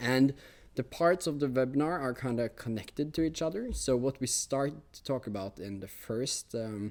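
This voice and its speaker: A man speaks at a medium pitch and a moderate pace with a Norwegian accent. His pitch varies in an ordinary way while his loudness swings widely. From Norway. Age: 20s. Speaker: technology teacher. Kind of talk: webinar presentation. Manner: hesitant, many fillers.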